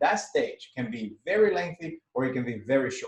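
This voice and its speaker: A man's somewhat breathy, fairly high voice with a Spanish accent, at a moderate pace. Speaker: data analytics instructor. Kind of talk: workshop tutorial. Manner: halting with many fillers.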